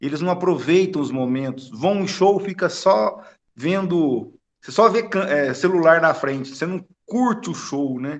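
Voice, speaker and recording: A man's high pitch with lively intonation at a fairly slow pace. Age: 50s. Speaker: spiritist study group participant. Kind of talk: group discussion over video call. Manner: halting.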